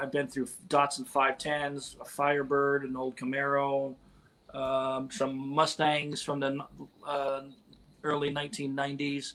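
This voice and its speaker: With an American accent, a man speaks at a moderate pace in a fairly high pitch. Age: 50s. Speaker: car movie technical advisor. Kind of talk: interview.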